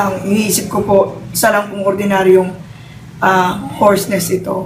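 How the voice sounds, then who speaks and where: Moderate pace against noticeable background noise. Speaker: product testimonial giver. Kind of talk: testimony. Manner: halting.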